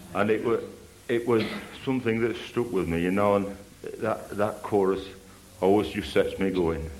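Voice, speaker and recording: Over background music, a man speaks at a moderate pace and a fairly low pitch, with fairly even intonation and long, frequent pauses. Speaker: church member giving testimony. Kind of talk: testimony.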